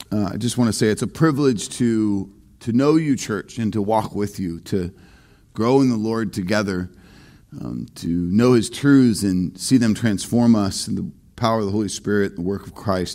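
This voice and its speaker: This man has a fairly low voice with a dark, mellow tone, speaking at a moderate pace. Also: ordinary pitch variation, quiet background. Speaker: pastor. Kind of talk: sermon. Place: church.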